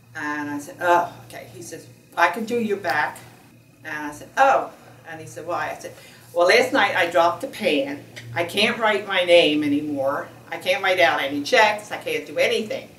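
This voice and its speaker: A woman speaks at a moderate pace in a fairly low voice, with lively intonation and big swings in loudness. Audible room echo and noticeable background noise fill the recording. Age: 70s. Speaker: surgery patient. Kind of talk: testimony. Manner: halting.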